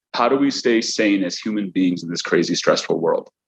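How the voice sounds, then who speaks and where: A man with a Chicago accent at a moderate pace. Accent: Chicago American English. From US Midwest, Chicago. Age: 30s. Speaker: accountant and business owner. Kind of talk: motivational talk. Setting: at home after workout. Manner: halting, many repetitions and fillers.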